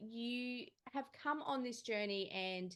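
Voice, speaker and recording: A woman's voice with an Australian accent and ordinary pitch variation. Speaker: podcast host. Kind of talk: interview.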